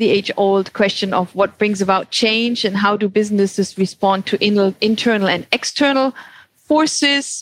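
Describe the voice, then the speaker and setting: The voice carries a German accent, with ordinary pitch variation and very even loudness. The sound is dry and close with no echo. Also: woman. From Germany. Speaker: anthropologist, former professor. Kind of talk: casual chat.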